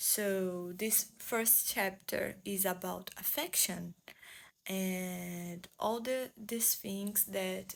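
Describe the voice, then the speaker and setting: Speaking at a very slow pace in a Portuguese accent, a woman keeps a medium pitch, fairly even intonation and very even loudness. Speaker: booktuber. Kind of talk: book review vlog. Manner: halting, searching for English words.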